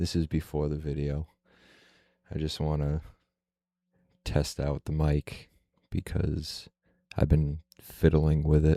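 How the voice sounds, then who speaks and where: Soft-spoken and very slow, the voice is monotone and flat, with a dark, mellow tone and a dry, close sound with no echo. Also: man. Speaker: YouTuber. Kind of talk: casual vlog monologue. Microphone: close to the mic.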